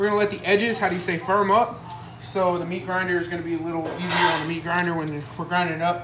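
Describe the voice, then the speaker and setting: A woman talks at a very fast pace with music playing in the background. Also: ordinary pitch variation. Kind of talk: tutorial. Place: kitchen. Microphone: phone near.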